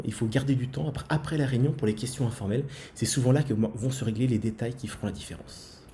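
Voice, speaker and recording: A man's voice with ordinary pitch variation. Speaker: school principal and podcast co-host. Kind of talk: podcast discussion. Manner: fast.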